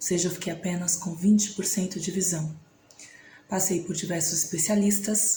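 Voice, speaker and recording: Room echo can be heard. A woman speaks in a flat monotone. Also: medium pitch for a woman, moderate pace, big swings in loudness. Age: 30s. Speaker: vlogger. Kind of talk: personal testimony.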